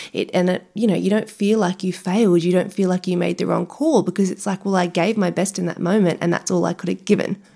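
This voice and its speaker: A woman rattles on at a very fast pace with hardly any pauses and monotone, flat intonation. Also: medium pitch for a woman. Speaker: nutrition podcast host. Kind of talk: casual interview chat. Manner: fast talker.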